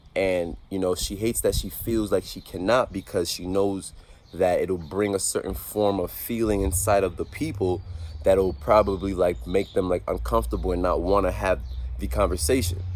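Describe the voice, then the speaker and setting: Speaking at a moderate pace, a man with a very deep, low pitch uses lively intonation and some vocal fry. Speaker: vlogger, motivational speaker. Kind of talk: motivational vlog monologue. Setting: outdoors. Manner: halting, many filler words.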